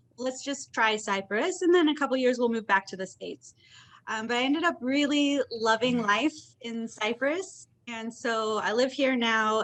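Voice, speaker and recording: An unremarkable speaking voice: a woman with an American accent, fairly high in pitch, at a moderate pace with lively intonation. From US Midwest, Indiana. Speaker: content marketer. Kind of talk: knowledge session talk.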